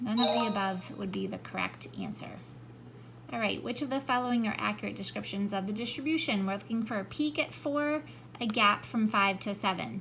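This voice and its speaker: There is noticeable background noise as a woman speaks in a medium pitch with ordinary pitch variation. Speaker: math teacher. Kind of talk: tutorial. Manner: fast.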